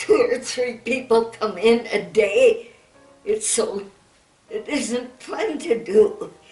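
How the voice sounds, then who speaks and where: A woman's very slow speech with ordinary pitch variation, music playing in the background. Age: 80s+. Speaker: centenarian interviewee. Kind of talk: interview answer.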